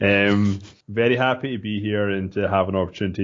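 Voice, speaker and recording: A man with a Scottish accent speaks with fairly even intonation. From Scotland, small town. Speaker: entrepreneur. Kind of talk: podcast interview. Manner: casual, with filler words and repeats.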